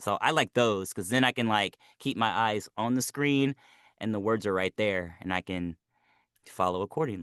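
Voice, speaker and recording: A man with an American accent speaks at a moderate pace in an unremarkable speaking voice, fairly low in pitch with ordinary pitch variation, the sound dry and close with no echo over a quiet background. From United States. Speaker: voice actor. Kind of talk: interview.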